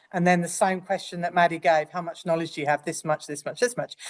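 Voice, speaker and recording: A woman speaks in a fairly low pitch over a quiet background. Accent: English. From England. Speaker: nurse educator. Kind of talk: lecture.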